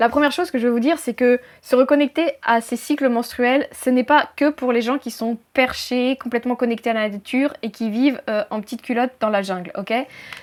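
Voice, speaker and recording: A woman's high voice with ordinary pitch variation. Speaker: life coach. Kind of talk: talking-head tutorial video. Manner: loud, fast; choppy.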